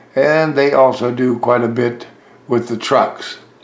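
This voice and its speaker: Against noticeable background noise and audible room echo, a man at medium pitch speaks at a fairly slow pace in a monotone, flat intonation. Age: 90s. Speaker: model railroad hobbyist. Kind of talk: video tour narration.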